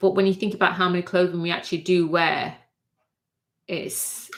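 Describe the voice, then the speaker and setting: With a Mancunian accent, the woman speaks at a moderate pace in a fairly low pitch and a monotone, flat intonation. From northern England, Manchester. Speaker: fashion designer and sewing YouTuber. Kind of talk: livestream casual chat. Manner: halting, many fillers.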